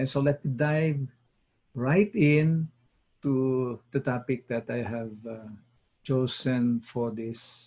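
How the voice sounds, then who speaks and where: At a very slow pace, a man speaks in a somewhat breathy voice with a dark, mellow tone and ordinary pitch variation. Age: 70s. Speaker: wellness coach. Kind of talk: talk-show monologue. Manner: measured, with frequent filler pauses.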